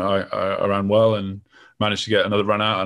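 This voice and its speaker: In a London accent, a man with a fairly low pitch talks at a very fast pace on a very clean recording with a silent background. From southern England. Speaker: athlete. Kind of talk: casual chat.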